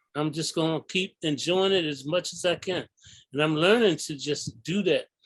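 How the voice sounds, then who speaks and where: At a moderate pace, a man with a high voice speaks with fairly even intonation, the sound dry and close with no echo. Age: 70s. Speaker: artist and community organizer. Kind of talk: casual chat.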